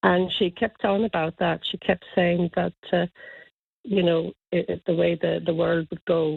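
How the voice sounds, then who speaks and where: A woman speaks with an Irish accent. Her pace is moderate. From Ireland, County Kilkenny. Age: 70s. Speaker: listener seeking lost friend. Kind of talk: radio interview. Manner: halting, many fillers and repeats.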